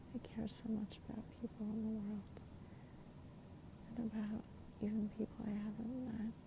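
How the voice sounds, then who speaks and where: Long, frequent pauses amid noticeable background noise. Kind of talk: personal reflective ASMR talk about family and gratitude. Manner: slow, hesitant, heartfelt.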